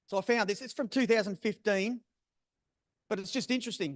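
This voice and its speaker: A man talks at a very fast pace with ordinary pitch variation. The sound is dry and close with no echo, over a quiet background. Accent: Australian. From South Australia. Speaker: bird breeder presenter. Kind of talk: presentation.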